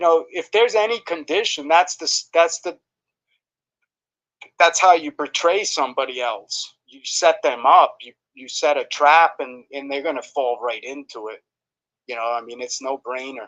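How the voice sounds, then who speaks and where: An ordinary speaking voice from a man, fairly high in pitch, with lively intonation, big swings in loudness and a moderate pace. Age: 60s. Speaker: live streamer. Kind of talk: casual chat.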